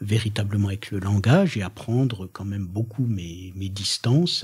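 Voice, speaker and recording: On a very clean recording with a silent background, a man talks at a fairly low pitch, somewhat breathy, with ordinary pitch variation. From Franche-Comté, eastern France. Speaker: poet and performer. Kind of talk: radio interview. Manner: hesitant, many fillers and restarts.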